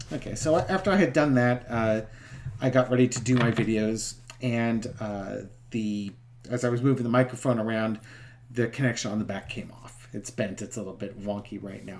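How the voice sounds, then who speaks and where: A soft-spoken delivery at a fairly quick pace. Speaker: tarot reader. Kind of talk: casual chat. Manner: hesitant, many fillers.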